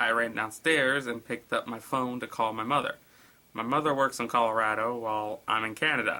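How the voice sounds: This is a natural reading voice. The text is read that way throughout.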